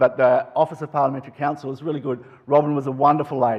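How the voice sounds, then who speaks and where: The man talks very fast, his pitch sitting in the medium range. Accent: Australian. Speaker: politician. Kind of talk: conference talk.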